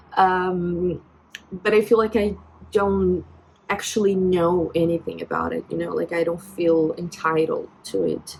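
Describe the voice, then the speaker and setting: A woman with a Brazilian accent talks at a fairly slow pace. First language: Portuguese. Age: 20s. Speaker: vlogger. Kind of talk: personal vent vlog. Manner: halting, many fillers and restarts.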